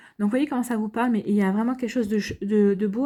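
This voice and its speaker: The voice has a dark, mellow tone with some breathiness and fairly even intonation. The recording is very clean, with a silent background. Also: woman. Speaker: astrology tarot reader. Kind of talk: astrology reading. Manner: fast; halting, many fillers.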